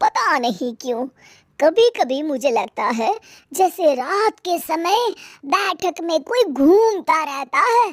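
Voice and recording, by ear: A put-on character voice with lively intonation at a slow pace. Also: woman, extremely high pitch for a woman.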